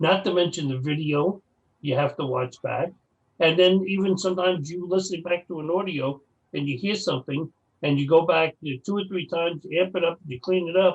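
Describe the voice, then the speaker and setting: A man talks at a fairly quick pace. His voice is high-pitched, with ordinary pitch variation. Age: 60s. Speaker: paranormal investigator. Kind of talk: casual chat.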